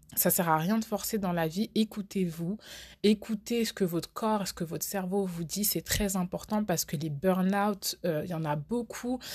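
Over a silent background on a very clean recording, a woman with a medium pitch and a somewhat breathy voice speaks at a fairly slow pace with ordinary pitch variation. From France. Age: 20s. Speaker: podcast host. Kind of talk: casual monologue.

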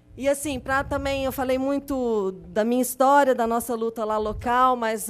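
Speaking fairly slowly, a woman keeps her intonation fairly even. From Belo Horizonte, Minas Gerais, Brazil. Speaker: community activist. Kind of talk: testimony. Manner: halting.

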